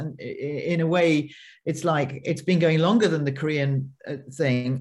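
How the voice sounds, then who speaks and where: A woman speaks in a British accent at a moderate pace. Her voice is somewhat breathy. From United Kingdom. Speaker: film producer. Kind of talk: panel discussion. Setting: online video panel.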